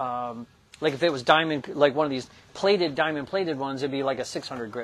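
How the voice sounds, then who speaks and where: A man talks as light background noise carries on behind him. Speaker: shop product demonstrator. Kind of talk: tutorial. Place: workshop. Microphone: lapel.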